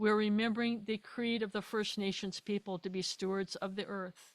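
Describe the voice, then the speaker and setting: Here a woman talks at a fairly high pitch with monotone, flat intonation. The recording is very clean and silent behind her, with a dry, close sound and no echo. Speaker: astrologer. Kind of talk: lecture. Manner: halting.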